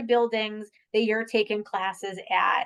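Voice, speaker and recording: This woman speaks with a strong Boston accent. The background is quiet. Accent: heavy Boston. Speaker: admissions representative. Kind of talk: virtual information session presentation. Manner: casual, with many fillers.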